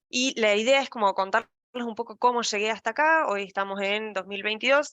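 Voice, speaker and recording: The woman's tone is bright and sharp. The sound is dry and close, with no echo. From Argentina, La Pampa. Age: 30s. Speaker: data science lead. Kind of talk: casual talk to online audience.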